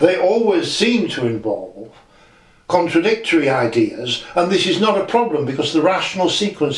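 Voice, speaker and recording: Through noticeable background noise and audible room echo, a man speaks at a moderate pace with lively intonation. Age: 60s. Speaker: channel owner discussing spiritual teachings. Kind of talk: audio diary monologue. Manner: reflective, halting with self-corrections.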